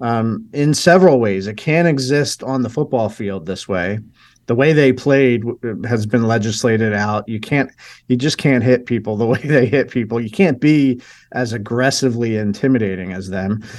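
An ordinary speaking voice moves at a moderate pace with ordinary pitch variation. The recording is very clean and the background silent. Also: man, medium pitch for a man. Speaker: film producer. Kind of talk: radio interview.

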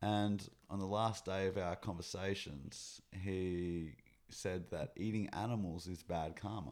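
A man's very deep, low voice with ordinary pitch variation at a fairly slow pace, in a very clean recording with a silent background. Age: 30s. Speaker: animal rights activist. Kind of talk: casual chat. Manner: approachable, calm.

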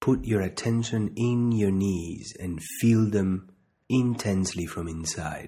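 A man speaks in an unremarkable speaking voice at a fairly slow pace. His pitch is fairly low, with ordinary variation. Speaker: meditation guide and doctor. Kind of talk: guided meditation, calm instructional second-person cues with pauses. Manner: slow, calm, soothing, deliberate pacing with repeated phrases; gentle, soft-spoken, even tone.

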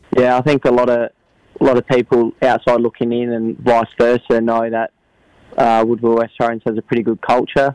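In a South Australian accent, a man speaks at medium pitch and a fairly quick pace. His intonation is flat and monotone, and the sound is dry and close with no echo. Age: 20s. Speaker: footballer. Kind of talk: interview. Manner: halting.

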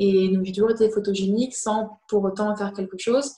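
The tone is dark and mellow, somewhat breathy. Delivery moves at a fairly quick pace. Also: woman. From France. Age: 20s. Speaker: fashion model. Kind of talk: online talk interview.

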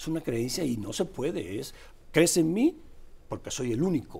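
This man's voice has a dark, mellow tone with vocal fry. He talks at a moderate pace. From Cuba. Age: 50s. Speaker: political columnist. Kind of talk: political commentary chat.

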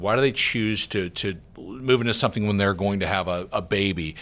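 A man with an American accent and a normal speaking voice talks in a fairly low pitch with ordinary pitch variation, on a very clean recording with a silent background. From US South, Georgia. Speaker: real estate market analyst. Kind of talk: interview.

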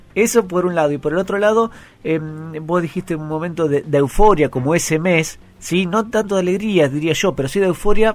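A man's high voice moves fairly quickly, with ordinary variation in pitch. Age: 30s. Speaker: radio host. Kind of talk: interview. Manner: halting.

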